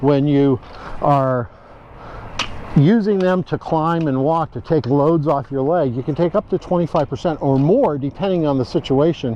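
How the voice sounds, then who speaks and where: Noticeable background noise under a man's fairly high voice. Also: ordinary pitch variation, moderate pace. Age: 70s. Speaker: hiking instructor. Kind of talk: tutorial. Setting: outdoors. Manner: halting, many fillers.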